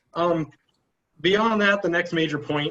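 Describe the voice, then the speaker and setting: A man with a high-pitched voice speaks with ordinary pitch variation. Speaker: combat sports instructor. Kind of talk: instructional talk at practice. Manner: fast.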